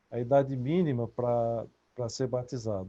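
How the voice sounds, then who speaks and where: This man's voice has a dark, mellow tone. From Brazil. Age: 60s. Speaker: author and researcher. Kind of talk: interview. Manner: halting.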